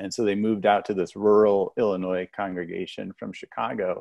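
In a dry sound with no echo, a man with an American accent and a fairly low pitch speaks at a moderate pace. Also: quiet background. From United States. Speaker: YouTube researcher; panelist. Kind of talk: casual panel discussion. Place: home room.

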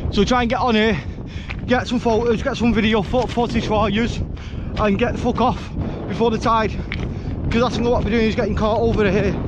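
Delivered at a fairly quick pace, the speech comes through dry with no echo but with noticeable background noise. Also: man. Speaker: explorer vlogger. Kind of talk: casual vlog chat. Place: beach. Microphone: phone near.

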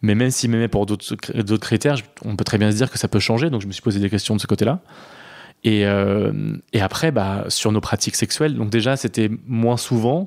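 The recording is very clean, dry and close, with a silent background and no echo. A man speaks at a fairly low pitch and a moderate pace, with ordinary pitch variation. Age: 30s. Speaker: interviewee sharing personal story. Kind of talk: casual chat. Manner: halting.

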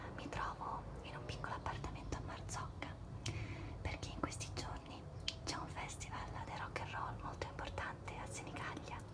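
A woman whispers with long, frequent pauses, keeping a moderate pace. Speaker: ASMR creator. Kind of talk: ASMR show and tell, whispered casual talk to camera. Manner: whispered, soft-spoken. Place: home room. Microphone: phone near.

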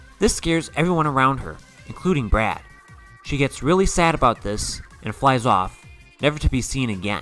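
Music plays in the background as a man talks at a fairly quick pace. His medium-pitched voice has lively intonation. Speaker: narrator. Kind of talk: cartoon character analysis narration.

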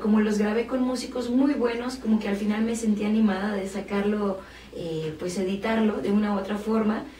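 Against light background noise and audible room echo, a woman speaks fairly quickly with fairly even intonation and a fairly high pitch. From Mexico City. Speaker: singer-songwriter and violinist. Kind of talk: interview. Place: studio.

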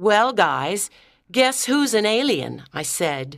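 A woman speaks very slowly at a medium pitch, with vocal fry and very wide pitch swings. The recording is very clean, with a silent background. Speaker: audiobook narrator. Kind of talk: scripted narration. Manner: clear, measured pace for English learners.

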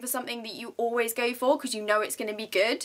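A woman talks at a very fast pace in a bright, sharp tone. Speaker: vlogger. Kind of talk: casual vlog chat. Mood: warm, grateful. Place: home room.

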